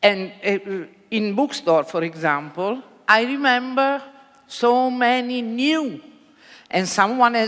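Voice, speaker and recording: Speaking with an Italian accent, a woman uses a fairly high pitch and lively intonation. Her pace is very slow. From Italy. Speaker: bookseller. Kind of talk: panel discussion. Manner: halting.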